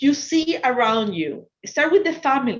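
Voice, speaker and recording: A woman with an Ecuadorian accent speaks very slowly in a high voice, her pitch swinging very widely. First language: Spanish. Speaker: finance professional and entrepreneur speaker. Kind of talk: motivational talk to students.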